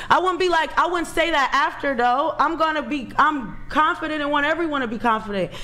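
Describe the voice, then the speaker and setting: A woman's high, raised, projected voice at a fairly quick pace, with hardly any pauses and ordinary pitch variation. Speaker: panelist. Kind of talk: panel debate. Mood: defensive, argumentative. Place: studio.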